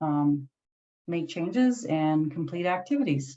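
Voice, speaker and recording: The woman's voice has a dark, mellow tone. Her pitch is very deep and low. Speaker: career resource supervisor. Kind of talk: webinar presentation.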